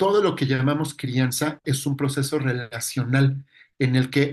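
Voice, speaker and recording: A man with a Mexican accent speaks at a fairly high pitch. His voice is somewhat breathy, with fairly even intonation. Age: 40s. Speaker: psychologist lecturer. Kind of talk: lecture.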